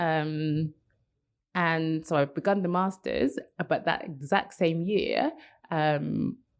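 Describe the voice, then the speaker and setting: Speaking with a British accent, a woman with a fairly low pitch talks at a very slow pace with long, frequent pauses, fairly even intonation and very even loudness. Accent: quite a British. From London, England. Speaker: copywriter. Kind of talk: interview conversation. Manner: hesitant, many fillers.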